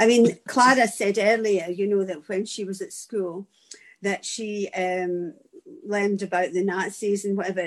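A woman with a medium pitch speaks fairly slowly. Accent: Scottish. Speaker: teacher. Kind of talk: audience question in a discussion.

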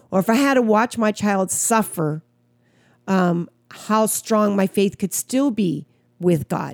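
In an American accent, a woman speaks at a medium pitch and a very slow pace. Her loudness stays very even on a very clean recording with a silent background. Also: ordinary pitch variation. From US Midwest, Wisconsin. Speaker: pastor and podcast co-host. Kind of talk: casual chat.

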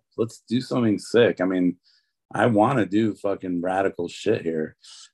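An ordinary speaking voice, a man with an American accent speaks fairly slowly at a fairly low pitch with ordinary pitch variation, in a dry, close sound with no echo against a quiet background. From US Midwest (Detroit, Michigan). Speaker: tattoo artist. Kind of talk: interview.

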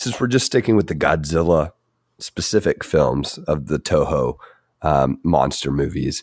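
With a very deep, low pitch and vocal fry, a man speaks at a fairly slow pace with lively intonation, recorded dry and close with no echo. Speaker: podcast co-host. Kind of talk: casual chat.

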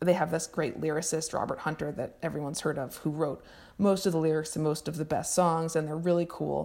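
Delivered at a fairly quick pace with fairly even intonation, this dark, mellow voice carries vocal fry on a very clean recording with a silent background. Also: woman. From Montreal and Vermont. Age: 30s. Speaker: writer. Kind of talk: casual chat.

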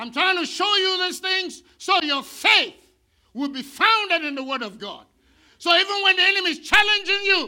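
The voice is raised and projected, bright and sharp in tone, with lively intonation at a moderate pace. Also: man. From India. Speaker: pastor. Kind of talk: sermon. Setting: church. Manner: animated.

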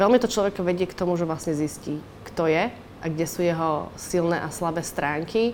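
With a normal speaking voice, a woman talks at a fairly low pitch and moderate pace. Her pitch varies in an ordinary way. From Slovakia. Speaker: yachtswoman and financial advisor. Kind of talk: interview testimony.

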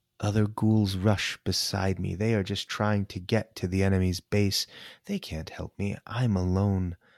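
A man with a fairly low pitch speaks at a fairly slow pace in a monotone, flat intonation, on a very clean recording with a silent background and a dry, close sound with no echo. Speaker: storyteller reading fan fiction aloud. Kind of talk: dramatic first-person war-story narration, read aloud with tense, urgent delivery.

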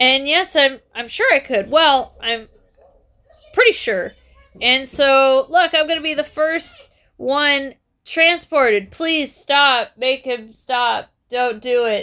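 Raised and projected, the voice is bright and sharp, moving very slowly with ordinary pitch variation. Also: woman, high pitch for a woman. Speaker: podcast host. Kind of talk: casual chat. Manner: loud.

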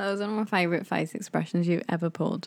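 Her words come at a very fast pace. The woman's pitch is medium. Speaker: podcast co-host. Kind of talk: casual chat between a couple.

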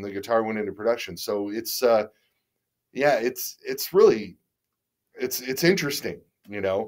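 In a Midwestern American accent, a man speaks at a moderate pace with lively intonation. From US Midwest, Detroit. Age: 50s. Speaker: guitar company owner and musician. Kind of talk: casual interview chat.

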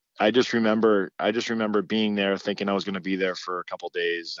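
A man with an unremarkable speaking voice talks at a fairly low pitch with fairly even intonation. The sound is dry and close with no echo, over a quiet background. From Massachusetts (Hingham, near Boston). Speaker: college hockey coach, former goalie. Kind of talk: casual interview.

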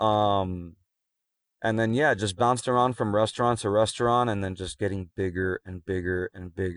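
A man with an American accent and a normal speaking voice, fairly low pitch, fairly even intonation and a moderate pace, over a quiet background. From Miami, Florida (Cuban American family). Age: 30s. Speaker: special-needs educator and coach. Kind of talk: casual chat. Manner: frequent fillers and self-repeats.

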